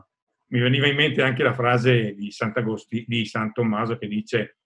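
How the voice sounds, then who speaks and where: In a Bergamasque accent, a man speaks at a moderate pace with fairly even intonation and a somewhat breathy voice. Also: quiet background. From Bergamo area, Lombardy; Lombardy, Italy. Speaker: cultural organizer and reader; reader. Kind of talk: reading aloud. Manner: halting. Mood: calm, reflective.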